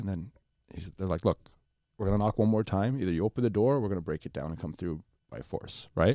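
A man's dark, mellow voice with vocal fry at a fairly quick pace, dry and close with no echo, in a very clean recording over a silent background. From Lebanon, raised in Canada. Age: 30s. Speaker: podcast co-host. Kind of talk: casual chat.

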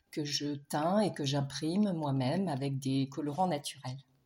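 The voice is somewhat breathy and dark and mellow in tone, moving at a fairly slow pace with ordinary pitch variation. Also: woman. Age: 60s. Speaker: textile artist and dyer. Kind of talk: recorded self-introduction.

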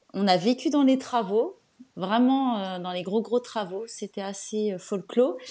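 A woman's dark, mellow voice at a fairly high pitch, very slow in pace, with ordinary pitch variation. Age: 40s. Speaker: home renovator and online antiques seller. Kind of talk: casual interview. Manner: hesitant, many fillers.

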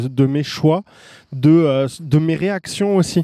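Heard dry and close with no echo, a man speaks very slowly in a dark, mellow tone, fairly high in pitch and with lively intonation. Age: 30s. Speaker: online course creator and entrepreneur. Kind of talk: casual interview.

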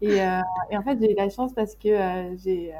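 At a moderate pace, a woman speaks in a flat monotone at medium pitch. Her tone is dark, mellow and somewhat breathy. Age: 20s. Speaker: graphic designer running an agency. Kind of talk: casual interview chat.

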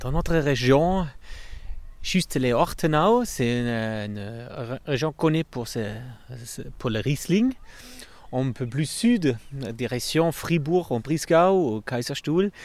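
A man at medium pitch with a German accent, lively intonation and a very slow pace. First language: German (speaking French). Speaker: winery director. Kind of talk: casual chat. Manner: halting.

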